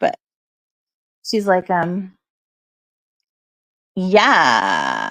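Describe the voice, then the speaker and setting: A creaky, put-on character voice sits at a middle pitch. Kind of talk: casual, filler-heavy. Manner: drawling, like a stereotypical West Coast speaker.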